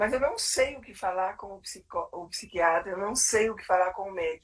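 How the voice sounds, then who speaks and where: A woman talks in a plain, everyday voice. Her pace is fairly slow, and her intonation is lively. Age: 60s. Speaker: psychologist and clinical supervisor. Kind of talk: live webinar conversation. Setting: live stream.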